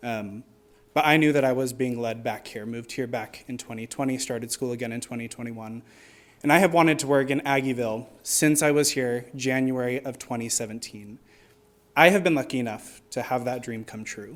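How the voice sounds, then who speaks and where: This man talks at a fairly quick pace with an American accent, using an ordinary speaking voice at medium pitch, fairly even intonation and big swings in loudness. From Arizona. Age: 20s. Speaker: public commenter, college student and bakery worker. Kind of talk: public comment. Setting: city commission meeting.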